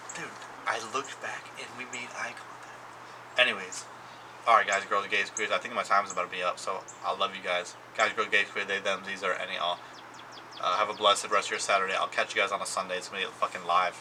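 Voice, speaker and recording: Over noticeable background noise, a man talks at a very fast pace yet leaves long, frequent pauses. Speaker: vlogger. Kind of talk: casual chat. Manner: rambling filler-heavy.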